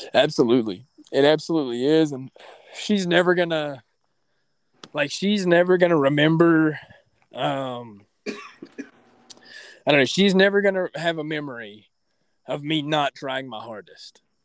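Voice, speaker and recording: The man talks at a fairly slow pace with long, frequent pauses and big swings in loudness. His pitch is fairly high, with ordinary variation. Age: 20s. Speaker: mixed martial arts fighter. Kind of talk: casual chat.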